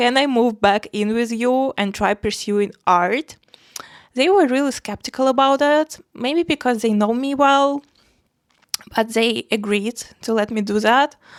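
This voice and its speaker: This woman speaks with a non-native accent at a high pitch and a fairly slow pace, her pitch varying in an ordinary way. The sound is dry and close, without echo. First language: not English. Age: 20s. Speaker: art vlogger. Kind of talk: casual personal vlog. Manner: hesitant, many fillers.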